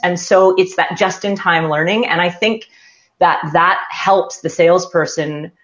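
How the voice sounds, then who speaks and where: A plain, everyday voice from a woman with a Canadian accent and a medium pitch. Her intonation is fairly even and her pace fairly slow. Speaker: sales consultant. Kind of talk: panel discussion. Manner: casual, many fillers.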